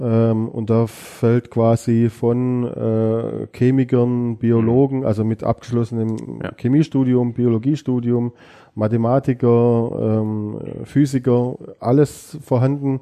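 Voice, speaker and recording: A man speaks at a very slow pace in a dark, mellow tone. His intonation stays flat and monotone. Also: medium pitch for a man. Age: 40s. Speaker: police fingerprint expert. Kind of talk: interview.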